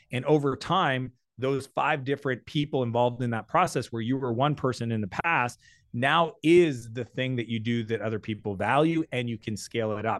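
At a fairly quick pace, a man talks in a plain, everyday voice, medium in pitch with ordinary pitch variation. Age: 40s. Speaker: entrepreneur. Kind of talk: interview.

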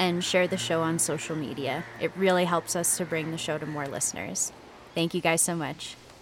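Noticeable background noise sits behind a woman with a fairly low pitch. She speaks at a moderate pace with fairly even intonation. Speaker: podcast announcer. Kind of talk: scripted intro and outro announcement.

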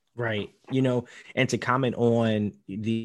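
With a plain, everyday voice, a man of medium pitch talks at a fairly slow pace and with fairly even intonation over a quiet background. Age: 20s. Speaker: podcast host. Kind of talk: interview. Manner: casual.

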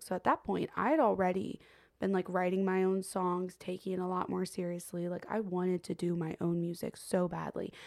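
Using a normal speaking voice, a woman talks at a moderate pace. Her pitch is medium and her intonation stays fairly even. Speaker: singer-songwriter and podcast host. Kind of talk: casual chat.

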